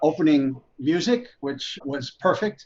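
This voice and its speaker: A plain, everyday voice from a man with an American accent, the intonation fairly even. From USA. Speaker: producer. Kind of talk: casual interview chat.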